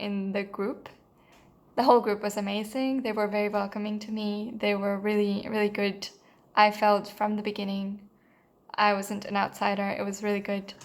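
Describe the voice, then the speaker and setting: A woman with a Spanish accent, medium pitch, moderate pace and monotone, flat intonation. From Mexico. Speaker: voiceover course student. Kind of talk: testimonial. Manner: hesitant, many fillers and restarts.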